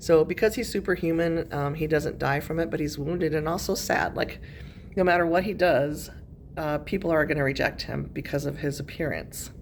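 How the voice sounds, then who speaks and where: A woman speaks at a fairly quick pace with a very deep, low pitch. Her intonation stays fairly even, and room echo is audible. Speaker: high school English teacher. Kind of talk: recorded lesson. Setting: classroom. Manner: casual, many fillers.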